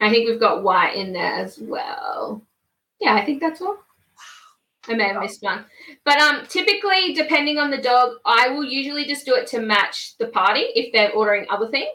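In an Australian accent, a woman speaks at a moderate pace with a high pitch and very wide pitch swings. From Queensland, Australia. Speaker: small business owner. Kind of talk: casual interview. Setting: live stream video call.

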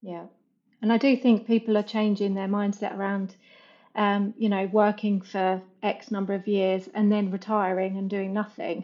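A woman with an English accent speaks at a medium pitch in a monotone, flat delivery. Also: moderate pace. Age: 40s. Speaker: digital marketing agency founder. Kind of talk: casual interview chat.

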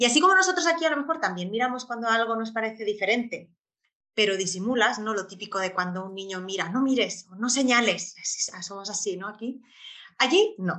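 Lively intonation marks a woman's fairly high pitch in a normal speaking voice. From Spain. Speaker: expat mother and traveller. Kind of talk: interview.

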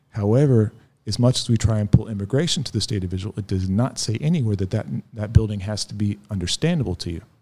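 Very fast and somewhat breathy, a man with an American accent talks in a fairly low pitch with ordinary pitch variation. The recording is very clean, with a silent background. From US South, north central Florida. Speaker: former skinhead recounting his story. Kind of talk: interview testimony. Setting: in person at guest's home city.

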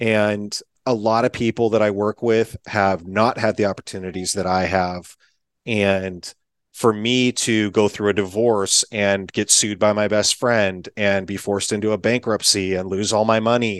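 The speech moves at a moderate pace in a monotone, flat intonation, with a dry, close sound with no echo and a quiet background. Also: man. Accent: American. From US Pacific Northwest (Eastern Washington). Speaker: entrepreneur. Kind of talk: interview.

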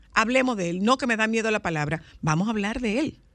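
Animated woman's voice with very wide pitch swings, over a quiet background. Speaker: radio host. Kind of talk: casual chat. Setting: studio.

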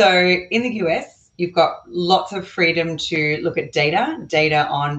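A woman speaks at a medium pitch. She has an Australian accent. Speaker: real estate investor. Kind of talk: casual interview chat. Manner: talkative, approachable.

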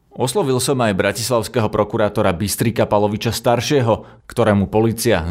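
In an unremarkable speaking voice, the speaker moves at a fairly quick pace with fairly even intonation. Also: man. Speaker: news podcast host. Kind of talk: news reading.

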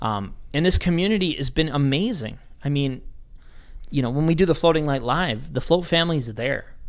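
A fairly high-pitched man at a moderate pace, lively intonation, audible room echo. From Wisconsin. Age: 30s. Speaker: float center owner. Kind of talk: casual chat. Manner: animated.

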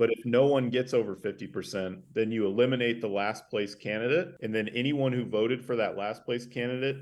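At a moderate pace and with hardly any pauses, a man with an American accent uses a normal speaking voice at medium pitch with ordinary pitch variation. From northern Idaho, US. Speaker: grassroots organizer, nonprofit director. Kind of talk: interview.

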